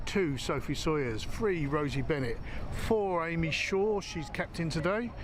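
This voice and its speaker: Fairly high male pitch with ordinary pitch variation, in audible room echo. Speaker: amateur rugby commentator. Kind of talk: live commentary. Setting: outdoors at rugby pitch. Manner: loud, shouting over wind.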